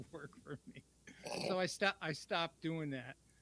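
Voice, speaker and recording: A man's bright, sharp voice with an American accent, fairly high pitch, ordinary pitch variation and a moderate pace. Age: 70s. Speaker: veteran guitarist. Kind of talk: casual chat.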